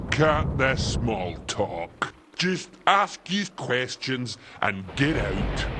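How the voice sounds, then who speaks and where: A man puts on a character voice at a very slow pace. His medium pitch moves in very wide swings. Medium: video game. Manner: slow, dim, ungrammatical.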